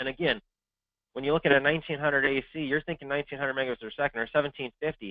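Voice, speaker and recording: A man talks with a fairly high pitch. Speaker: sales engineer presenting a webinar. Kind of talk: webinar presentation. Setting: online webinar. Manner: fast.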